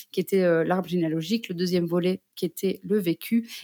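The sound is dry and close, with no echo. A woman's medium-pitched voice carries a dark, mellow tone and fairly even intonation. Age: 30s. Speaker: psychogenealogist. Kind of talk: interview. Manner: hesitant, many fillers.

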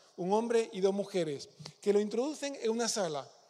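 A man with a high pitch talks at a fairly quick pace, his pitch varying in an ordinary way. Noticeable background noise can be heard. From Spain, Córdoba province (Peñarroya). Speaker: pastor. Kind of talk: sermon.

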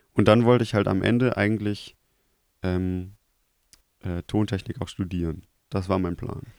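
At a moderate pace, a man speaks with long, frequent pauses, fairly low pitch and fairly even intonation. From Germany, Krefeld. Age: 20s. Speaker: TV media technician. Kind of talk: casual chat.

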